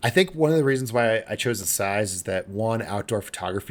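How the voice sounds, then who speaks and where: A man with a plain, everyday voice speaks at a fairly low pitch and a fairly quick pace. His pitch varies in an ordinary way, on a very clean recording with a silent background. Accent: American. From upstate New York. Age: 40s. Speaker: magazine editor and owner. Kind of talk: podcast interview.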